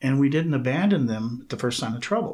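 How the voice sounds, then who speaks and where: Somewhat breathy, a man with an American accent talks at medium pitch with very wide pitch swings. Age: 60s. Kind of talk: podcast interview.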